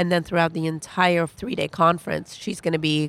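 Fairly low for a woman and touched with vocal fry, her voice moves at a fairly quick pace with fairly even intonation. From US, raised in immigrant community after leaving Soviet Union in late 1980s. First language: Russian. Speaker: lawyer. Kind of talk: interview. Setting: conference.

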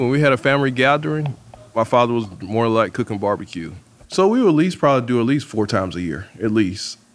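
A man in a South Carolina accent talks very fast at medium pitch. His intonation is lively. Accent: South Carolina Southern. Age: 30s. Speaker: rocket scientist and barbecue cook. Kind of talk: casual interview. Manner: quiet.

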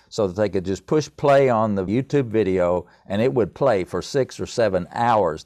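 Over a quiet background, a man with an American accent talks at a moderate pace and a fairly low pitch. It is a normal speaking voice, with ordinary pitch variation. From US South. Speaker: composer. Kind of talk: interview.

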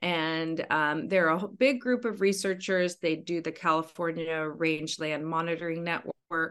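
A woman with an American accent, fairly low-pitched, at a moderate pace with hardly any pauses and ordinary pitch variation, over a quiet background. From western Washington, US. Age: 40s. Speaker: regenerative rancher. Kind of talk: interview. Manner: halting, many fillers and repeated words.

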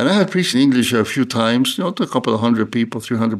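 Lively in intonation, a man at medium pitch talks at a very fast pace. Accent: Cuban. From Cuba. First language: Spanish. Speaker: theologian and professor. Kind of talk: interview conversation.

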